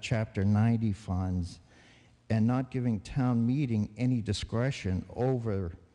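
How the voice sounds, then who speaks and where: A man's dark, mellow tone comes through with a quiet background. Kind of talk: public meeting floor argument. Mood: critical, argumentative. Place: hall. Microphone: podium.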